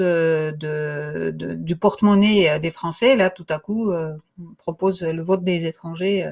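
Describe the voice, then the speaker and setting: A woman speaks at a very slow pace with fairly even intonation. Her pitch is fairly low. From Russian and Armenian background. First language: Russian or Armenian; French is third language (speaking French). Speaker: co-host of political morning show. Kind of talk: political discussion. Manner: hesitant, many fillers.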